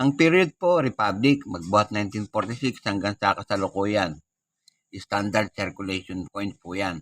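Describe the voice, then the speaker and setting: A man with a plain, everyday voice speaks at a fairly slow pace in a fairly low pitch with lively intonation, on a very clean recording with a silent background. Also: dry, close sound with no echo. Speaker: coin collector YouTuber. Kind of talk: show-and-tell tutorial.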